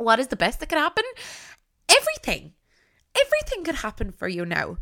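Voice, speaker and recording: A woman talks in an animated tone with an Irish accent. Her pitch swings very widely. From Ireland, County Tipperary. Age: 20s. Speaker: podcast host and content creator. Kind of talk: solo podcast monologue. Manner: animated, laughs often.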